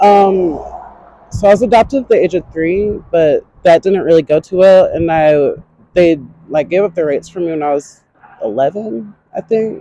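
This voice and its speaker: This woman speaks with an American accent at a moderate pace. Her pitch varies in an ordinary way. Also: medium pitch for a woman. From North Carolina. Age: 20s. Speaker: homeless interviewee. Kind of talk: street interview. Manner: halting.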